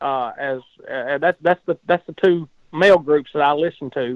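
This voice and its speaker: A man in a Southern US accent at a moderate pace, with ordinary pitch variation. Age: 50s. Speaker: gospel singer. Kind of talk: casual chat. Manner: talkative.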